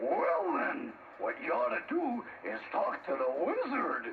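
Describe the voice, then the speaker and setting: Someone performs a put-on character voice at a fairly slow pace over clear background noise. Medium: audio drama. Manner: gruff, blustering.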